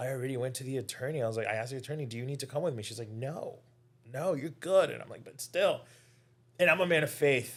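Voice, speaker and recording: In a very clean recording with a silent background, a man with an American accent speaks at a very fast pace, with a medium pitch, ordinary pitch variation, big swings in loudness and a somewhat breathy quality. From Cuban heritage, US. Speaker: psychologist. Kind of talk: casual podcast conversation. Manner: fast-paced; animated.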